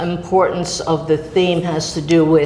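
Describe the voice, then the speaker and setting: Through audible room echo and noticeable background noise, a woman speaks with an American accent. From New York. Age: 80s. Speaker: artist. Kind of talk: interview. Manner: halting.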